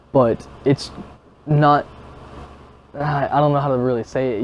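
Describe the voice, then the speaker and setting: This man speaks at a very slow pace with a fairly high pitch. His intonation is fairly even. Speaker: gaming youtuber. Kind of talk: casual vlog commentary. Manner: calm; stuttering, halting.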